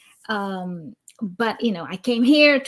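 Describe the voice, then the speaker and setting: A woman speaks very slowly in a Brazilian accent, with ordinary pitch variation. The recording is very clean, with a silent background. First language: Portuguese. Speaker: cross-cultural consultant. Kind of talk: live stream interview. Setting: LinkedIn live stream.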